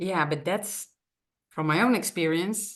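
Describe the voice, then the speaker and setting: Ordinary pitch variation runs through this woman's speech in a Dutch accent. She talks at a fairly slow pace. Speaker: podcast host and coach. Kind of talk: podcast interview.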